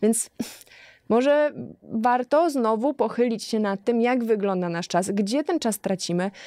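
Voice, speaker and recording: Over a quiet background with a dry sound and no echo, a woman speaks fairly slowly at a fairly high pitch, her tone dark and mellow and her intonation lively. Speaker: model and sociologist. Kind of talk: casual chat. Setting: studio. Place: studio. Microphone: studio mic.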